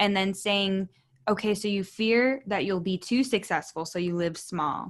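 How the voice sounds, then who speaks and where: Against a quiet background, a woman talks in an unremarkable speaking voice, medium in pitch with ordinary pitch variation. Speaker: naturopathic doctor and podcast host. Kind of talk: interview.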